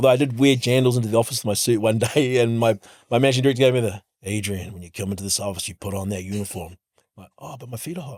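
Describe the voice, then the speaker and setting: On a very clean recording with a silent background, a man with a New Zealand accent talks at a very fast pace at medium pitch, with ordinary pitch variation and big swings in loudness. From New Zealand, Hamilton. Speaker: fintech co-founder and CEO. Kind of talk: podcast interview.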